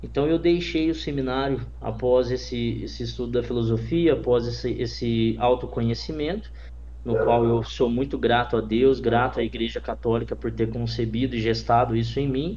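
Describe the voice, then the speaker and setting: A man speaks at a moderate pace. There is audible room echo around his voice. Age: 20s. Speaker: entrepreneur and designer. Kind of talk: interview.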